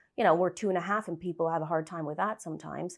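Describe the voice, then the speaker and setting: Over a quiet background, a woman talks at a medium pitch with a North American accent. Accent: North American, often taken for American. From Canada, French Canadian. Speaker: estate agent. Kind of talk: podcast interview. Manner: animated.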